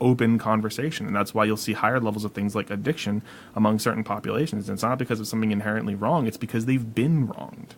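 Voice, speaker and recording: A man talks at a medium pitch with ordinary pitch variation. He has a normal speaking voice with an American accent. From Massachusetts, Worcester County. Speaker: podcast co-host. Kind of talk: casual chat.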